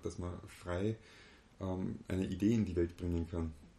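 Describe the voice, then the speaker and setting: Somewhat breathy, a man speaks in a very deep, low voice with a dark, mellow tone and fairly even intonation. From Austria, moved from eastern Germany as a child. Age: 30s. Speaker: business consultant and seminar leader. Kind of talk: casual interview.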